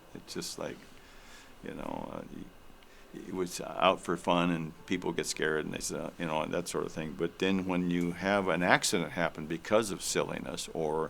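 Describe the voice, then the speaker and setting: In an American accent, a man speaks with a very deep, low pitch. His pace is moderate and his intonation monotone and flat. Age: 70s. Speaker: elderly interviewee, military veteran. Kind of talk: interview storytelling. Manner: halting, many fillers.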